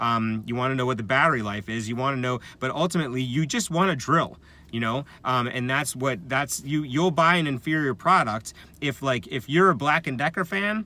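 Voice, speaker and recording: A man's bright, sharp, medium-pitched voice, fairly quick, with lively intonation. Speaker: affiliate marketing vlogger. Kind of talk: tutorial. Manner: fast; halting, many fillers.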